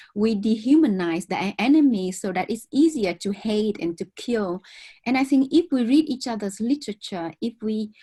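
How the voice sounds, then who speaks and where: In a Vietnamese accent, the speaker talks at a moderate pace with lively intonation and a dark, mellow, somewhat breathy tone, in a very clean recording with a silent background. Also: woman. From southern Vietnam. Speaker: author. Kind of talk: interview conversation.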